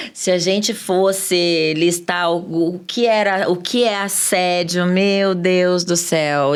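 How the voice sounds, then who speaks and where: Room echo is audible as a woman speaks at a medium pitch with fairly even intonation. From Brazil, Minas Gerais. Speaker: sales expert. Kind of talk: podcast interview.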